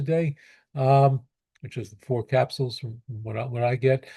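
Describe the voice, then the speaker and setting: A man speaks at a moderate pace in a fairly high pitch, with an American accent and a dark, mellow tone. His voice is somewhat breathy, and the background is quiet. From New York (Brooklyn). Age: 70s. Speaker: pediatrician. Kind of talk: Q&A answer. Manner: halting, many repetitions.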